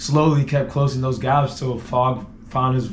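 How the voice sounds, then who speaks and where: Audible room echo around a man talking at a medium pitch. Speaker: team media guy. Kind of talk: casual chat. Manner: animated.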